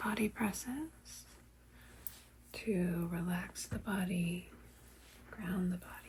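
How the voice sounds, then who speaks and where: A soft-spoken woman at a medium pitch, with ordinary pitch variation and a very slow pace. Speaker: reiki practitioner. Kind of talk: ASMR reiki session.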